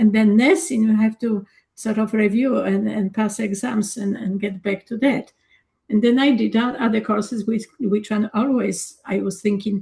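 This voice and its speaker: In a Polish accent, a woman speaks at a moderate pace in a fairly high, somewhat breathy voice. Her intonation stays fairly even. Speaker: energy coach and former nurse. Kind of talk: casual discussion.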